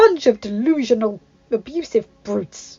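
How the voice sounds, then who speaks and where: A female-sounding voice puts on a character voice with fairly high pitch and a stern tone at a moderate pace. Faint music plays in the background. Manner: stern, indignant.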